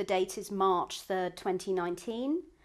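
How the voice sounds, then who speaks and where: A woman has a plain, everyday voice at a medium pitch, talking at a moderate pace with ordinary pitch variation. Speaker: interviewer. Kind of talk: formal interview introduction.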